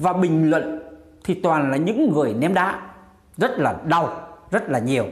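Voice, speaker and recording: A man talks at a moderate pace over a quiet background. Some room echo can be heard. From Vietnam. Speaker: YouTube commentary vlogger. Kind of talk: casual monologue commentary. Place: home room. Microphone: lapel.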